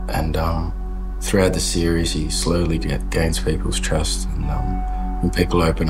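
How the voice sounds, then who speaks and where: Clear background music behind a man's voice. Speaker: actor in an interview. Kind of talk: interview answer. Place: kitchen.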